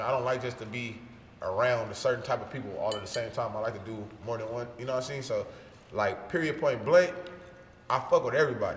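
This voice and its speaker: With an American accent, a man talks at a very fast pace amid audible room echo and noticeable background noise. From Los Angeles, South Central. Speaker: rapper. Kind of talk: casual interview. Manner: animated.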